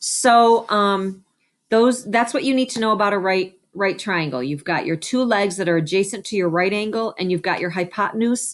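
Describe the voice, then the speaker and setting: A woman speaks in an ordinary speaking voice at medium pitch, with ordinary pitch variation. Her moderate pace comes through a very clean recording with a silent background. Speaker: special education math teacher. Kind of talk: tutorial. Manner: casual, conversational.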